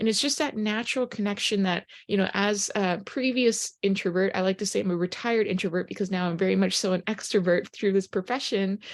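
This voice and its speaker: Speaking at a very fast pace, a woman keeps her loudness very even, her pitch medium and her pitch variation ordinary. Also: hardly any pauses. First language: Japanese. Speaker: network marketing presenter. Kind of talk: sales pitch.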